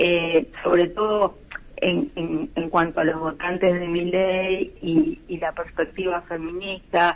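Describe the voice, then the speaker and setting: Noticeable background noise sits under a woman speaking at a very slow pace. Her voice is fairly low, with ordinary pitch variation. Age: 60s. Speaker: lawyer and human rights activist. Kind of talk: radio interview. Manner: many fillers (eh, este).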